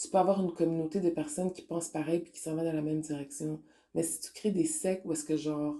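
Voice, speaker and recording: A woman with a Quebec accent, fairly low in pitch, dark and mellow in tone, monotone and flat, at a very fast pace. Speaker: spiritual online radio host. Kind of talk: spiritual talk monologue. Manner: casual, code-switching French and English.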